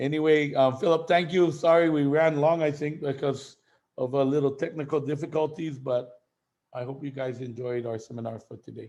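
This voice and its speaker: With a plain, everyday voice, a man talks at a fairly quick pace in a fairly high pitch, his intonation fairly even and his loudness swinging widely. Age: 60s. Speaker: seminar speaker. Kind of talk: casual chat.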